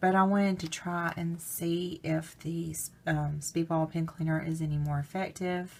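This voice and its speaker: Flat, monotone speech with an Alabama accent moves at a fairly slow pace. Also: woman. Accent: Southern US (Alabama). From US South, Alabama. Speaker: crafts vlogger. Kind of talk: product haul review. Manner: casual, hesitant with fillers.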